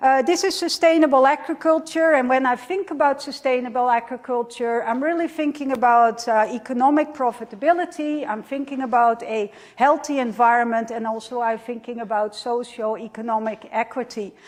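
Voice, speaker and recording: A woman talks at a fairly quick pace in a high voice with ordinary pitch variation, hardly pausing at all. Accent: Dutch. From Netherlands. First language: Dutch. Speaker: professor. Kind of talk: lecture. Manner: many fillers (uh).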